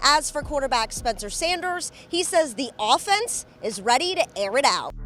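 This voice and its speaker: Music behind the voice and pitch that swings very widely. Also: woman, high pitch for a woman, moderate pace. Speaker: sports reporter and host. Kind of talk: sideline interview questions.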